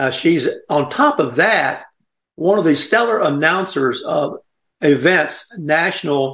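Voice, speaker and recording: A man speaks with a Southern US accent. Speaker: radio host. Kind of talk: casual chat. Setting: studio.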